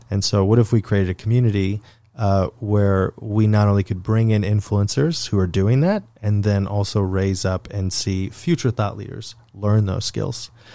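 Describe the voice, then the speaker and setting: A man's plain, everyday voice, fairly low in pitch, with fairly even intonation, a moderate pace and hardly any pauses. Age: 30s. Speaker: podcast host and founder. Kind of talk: casual chat.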